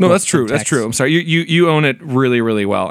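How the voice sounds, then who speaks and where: A man talks at a fairly quick pace and medium pitch with lively intonation. He has a plain, everyday voice. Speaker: podcast co-host.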